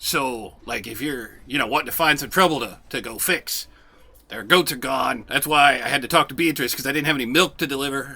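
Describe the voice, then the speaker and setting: Putting on a character voice, a man talks at a fairly quick pace in a fairly high pitch. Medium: actual play. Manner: smug, condescending, laughing.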